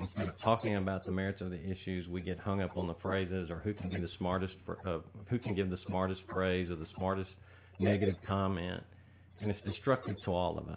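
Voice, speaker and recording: A man speaks at a fairly quick pace in a very deep, low voice. His intonation stays monotone and flat, with an East Texas accent. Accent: East Texas Southern US. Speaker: political candidate. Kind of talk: radio interview.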